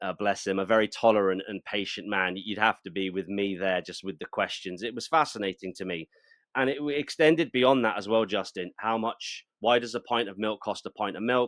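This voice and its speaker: A man's fairly low-pitched voice with a British accent, in a dry, close sound with no echo and a quiet background. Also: ordinary pitch variation, fairly quick pace, hardly any pauses. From England. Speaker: political activist. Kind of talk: interview.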